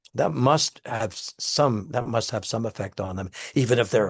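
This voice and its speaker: Somewhat breathy, a man's voice comes through. He keeps a moderate pace and ordinary pitch variation. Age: 80s+. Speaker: author and theater director. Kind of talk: interview. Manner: halting, many repetitions.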